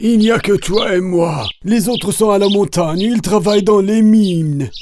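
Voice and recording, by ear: A cartoonish character voice from a man, pitched high. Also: moderate pace.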